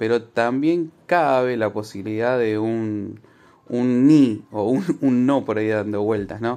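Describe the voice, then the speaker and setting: Speaking at a very slow pace, a man with a medium-pitched, dark, mellow tone shows ordinary pitch variation. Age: 40s. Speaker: marriage counselor. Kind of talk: recorded interview answer.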